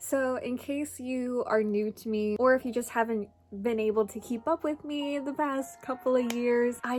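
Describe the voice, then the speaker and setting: With an American accent and a high pitch, a woman speaks at a fairly slow pace with hardly any pauses and ordinary pitch variation, over noticeable background noise. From Minnesota, USA. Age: 20s. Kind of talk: casual talk to camera.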